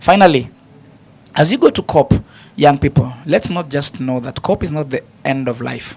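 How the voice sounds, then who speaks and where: A man speaks with a fairly high pitch and ordinary pitch variation. He leaves long, frequent pauses. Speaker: panelist. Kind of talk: panel discussion. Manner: fast.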